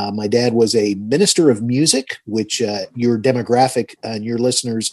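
A plain, everyday voice from a man at medium pitch, with an American accent, ordinary pitch variation and a quiet background. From Georgia, US South (Tucker, Atlanta area). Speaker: financial advisor and radio host. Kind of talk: interview.

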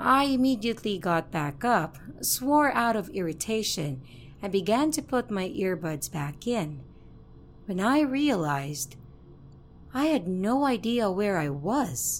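A woman talks at a fairly slow pace and medium pitch with very wide pitch swings, music playing in the background. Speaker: horror story narrator. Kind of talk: reading aloud a first-person horror story submission. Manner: steady storytelling narration, building suspense.

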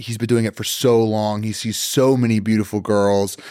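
A man talks at a fairly slow pace in a medium pitch, with an ordinary speaking voice. The recording is very clean, with a silent background. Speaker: podcast guest. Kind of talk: casual chat. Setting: studio.

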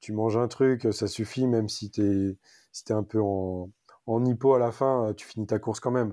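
A man speaks in a monotone with flat intonation. His tone is dark and mellow. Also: quiet background. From Paris region, France. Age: 40s. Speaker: amateur trail runner. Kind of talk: casual interview. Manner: hesitant, many fillers.

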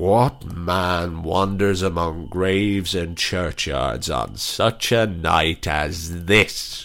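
Putting on a character voice, a man talks at a very slow pace with a very deep, low pitch. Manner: stern, demanding; crying out.

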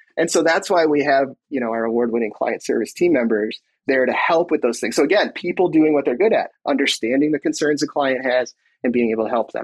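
A man talks with an American accent at a fairly high pitch. His is an ordinary speaking voice. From Michigan. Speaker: tech executive. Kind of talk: interview.

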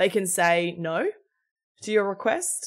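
A woman speaks with an Australian accent. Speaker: executive coach and founder. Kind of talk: interview.

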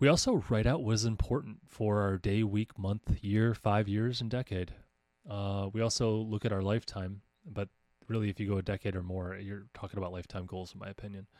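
In a very clean recording with a silent background and a dry, close sound with no echo, a speaker with an American accent uses fairly even intonation while their loudness swings widely. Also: man, fairly low pitch for a man. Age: 40s. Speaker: podcast host and homeschooling coach. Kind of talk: casual monologue. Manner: halting with frequent fillers.

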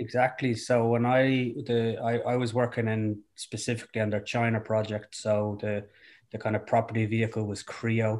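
A man with a south Dublin accent talks at a moderate pace in a medium pitch, his intonation monotone and flat. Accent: Irish (south Dublin). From Dublin, Ireland. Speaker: founder and CEO of a bike sharing company. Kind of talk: interview. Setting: at home, remote call.

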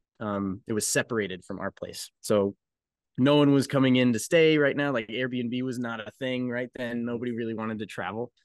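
In an American accent, this man has a normal speaking voice at a medium pitch with fairly even intonation. His moderate pace is heard in a dry, close sound with no echo. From Colorado. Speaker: brewery co-owner. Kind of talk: casual interview.

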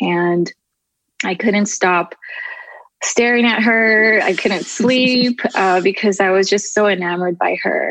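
A woman with a Californian accent talks at a very slow pace, her pitch medium. Loudness stays very even, and pitch variation is ordinary. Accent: Californian American English. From Southern California. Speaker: photographer and social media creator. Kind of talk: interview conversation.

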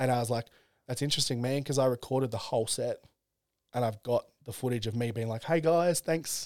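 A man with an Australian accent, medium pitch, ordinary pitch variation and a fairly quick pace, in a dry, close sound with no echo. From Australia, Central Coast NSW. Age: 30s. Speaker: comedian. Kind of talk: casual chat.

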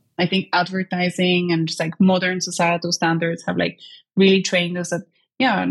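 A woman with an Eastern European accent speaks at a fairly low pitch in a somewhat breathy, monotone, flat way, with dry, close sound and no echo. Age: 20s.

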